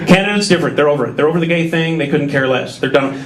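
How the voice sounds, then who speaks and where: Someone with an American accent speaks with lively intonation, with audible room echo and noticeable background noise. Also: man. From Minnesota. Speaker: stand-up comedian. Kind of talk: stand-up. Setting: stage with audience. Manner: animated.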